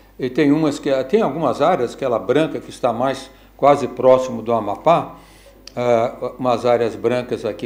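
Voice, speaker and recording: With noticeable background noise and audible room echo, a man at medium pitch talks at a moderate pace with ordinary pitch variation. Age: 70s. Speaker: physicist and lecturer. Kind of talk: lecture. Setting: lecture hall with audience. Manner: halting, with many fillers and restarts.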